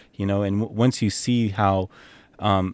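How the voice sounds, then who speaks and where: This voice has a Californian accent and ordinary pitch variation. The sound is dry and close with no echo, on a very clean recording with a silent background. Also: man. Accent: Californian American English. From San Jose, Bay Area, California. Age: 30s. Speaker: model and consultant. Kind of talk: casual interview. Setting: at his home, outdoors with a view. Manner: frequent fillers and laughs.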